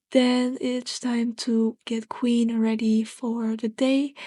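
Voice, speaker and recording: A soft-spoken voice with a dark, mellow tone talks at a very slow pace. The sound is dry and close with no echo, over a quiet background. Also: woman. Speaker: gaming roleplay narrator. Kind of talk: roleplay vlog narration.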